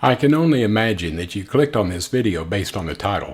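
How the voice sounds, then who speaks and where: Fairly low in pitch, this man's voice is somewhat breathy. The recording is very clean, with a silent background. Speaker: person living with spinal muscular atrophy. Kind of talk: vlog talk to camera.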